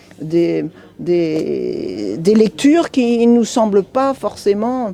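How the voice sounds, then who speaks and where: A woman's voice over noticeable background noise. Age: 60s. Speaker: bookshop employee. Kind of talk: interview. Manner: hesitant, many fillers.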